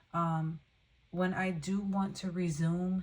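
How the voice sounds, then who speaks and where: Woman with a fairly low pitch and monotone, flat intonation. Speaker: tarot reader. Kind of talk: tarot reading. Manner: stumbling over words.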